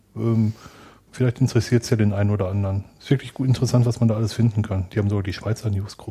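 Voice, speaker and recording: A man talks very fast in a fairly low, somewhat breathy voice. His tone is dark and mellow, with monotone, flat intonation. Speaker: podcast co-host. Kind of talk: casual chat.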